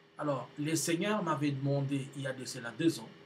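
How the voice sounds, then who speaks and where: Male speech, somewhat breathy, set in audible room echo. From DR Congo. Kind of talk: video announcement to viewers. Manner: halting, with many hesitations.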